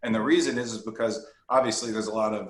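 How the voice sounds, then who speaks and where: Speaking at a fairly quick pace with fairly even intonation, a man's voice carries audible room echo. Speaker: employee benefits consultant. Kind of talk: webinar presentation. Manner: fast.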